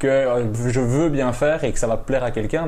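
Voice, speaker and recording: The pace here is fairly quick. It is a plain, everyday voice. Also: man. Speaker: podcast host. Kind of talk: casual interview.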